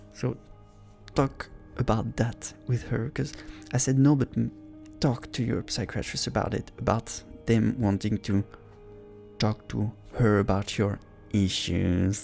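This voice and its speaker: A man's fairly low voice at a fairly slow pace, with ordinary pitch variation, long, frequent pauses and music in the background. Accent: non-native. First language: not English. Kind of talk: casual talk to camera, reaction commentary. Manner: supportive, warm, encouraging.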